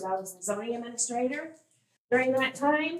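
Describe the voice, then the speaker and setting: Her pitch rising and falling in an ordinary way, a woman talks at a middling pace. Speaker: political candidate. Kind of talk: campaign speech at public meeting. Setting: township board meeting. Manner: loud.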